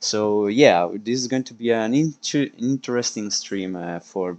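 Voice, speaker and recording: A man speaks at a fairly slow pace with medium pitch, ordinary pitch variation and hardly any pauses. His loudness swings a lot against a quiet background. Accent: Italian. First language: Italian. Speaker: esports league stream host. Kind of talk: live stream commentary. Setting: live stream. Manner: halting, many fillers.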